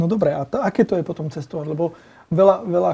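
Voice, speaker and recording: A man with a Slovak accent talks very fast at a high pitch, his tone dark and mellow. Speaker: podcast host. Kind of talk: casual interview.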